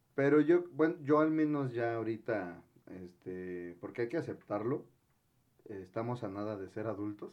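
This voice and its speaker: A plain, everyday voice from a man at medium pitch, fairly slow, with lively intonation and big swings in loudness. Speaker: podcast co-host. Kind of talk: casual chat.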